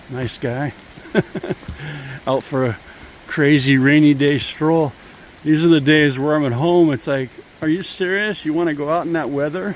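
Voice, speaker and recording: The man speaks at a moderate pace with long, frequent pauses. His fairly high voice shows ordinary pitch variation over noticeable background noise. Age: 60s. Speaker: hiking vlogger. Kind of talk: casual vlog narration. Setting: outdoors on a trail in pouring rain.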